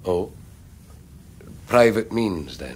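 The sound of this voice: Putting on a character voice, a man speaks very slowly at a low pitch with big pitch swings and a slightly mellow tone.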